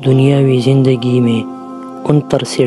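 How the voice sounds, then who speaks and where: A man's voice with ordinary pitch variation, music playing in the background. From Pakistan. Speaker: voice-over artist, channel owner. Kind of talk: Islamic story narration.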